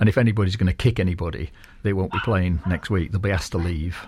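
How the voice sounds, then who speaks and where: Very deep and low, a man's somewhat breathy voice races along at a very fast pace. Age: 60s. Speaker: sports group founder. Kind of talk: radio interview. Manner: hesitant, many fillers.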